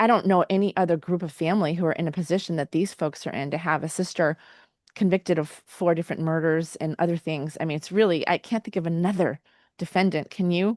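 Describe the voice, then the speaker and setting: A woman talks very fast at a fairly low pitch with fairly even intonation. The sound is dry and close with no echo, against a quiet background. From New Hampshire. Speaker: true crime show host. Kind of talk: casual interview chat. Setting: video call.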